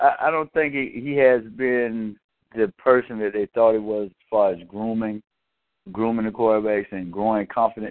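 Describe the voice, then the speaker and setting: Here a man speaks with a Southern US accent at a fairly quick pace. His voice is fairly low, with ordinary pitch variation. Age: 40s. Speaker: sports talk radio co-panelist. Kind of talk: casual sports debate. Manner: animated.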